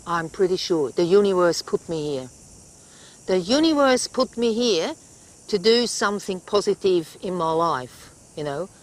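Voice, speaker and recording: A woman at medium pitch speaks in a Swiss accent with lively intonation at a moderate pace. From Switzerland. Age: 60s. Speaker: wildlife carer and camp owner. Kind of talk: interview. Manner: halting, with repetitions.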